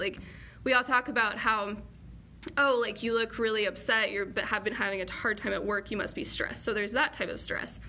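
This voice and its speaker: A woman with an American accent, fairly high in pitch, bright and sharp in tone with vocal fry, in audible room echo. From US, Colorado. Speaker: PhD student in virology. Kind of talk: live Q&A lecture. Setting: live online session. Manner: fast; casual, filler-heavy.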